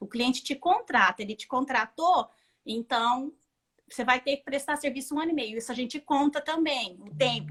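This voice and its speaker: A woman talks with a high voice. Its ups and downs are ordinary. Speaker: dressmaker and bridal atelier owner. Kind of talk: interview, teaching tips.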